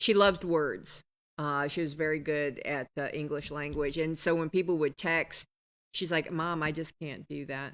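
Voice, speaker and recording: At a moderate pace and with fairly even intonation, the voice comes through dry and close with no echo on a very clean recording against a silent background. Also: woman, very deep, low pitch for a woman. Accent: American. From Appalachia, US. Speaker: podcast host. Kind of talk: casual chat.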